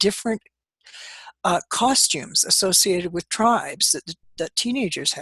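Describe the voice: A woman with a slightly husky edge and lively intonation, in a dry, close sound with no echo.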